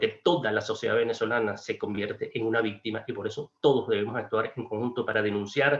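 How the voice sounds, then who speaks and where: A man at a fairly quick pace amid noticeable background noise. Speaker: diplomat. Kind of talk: panel speech.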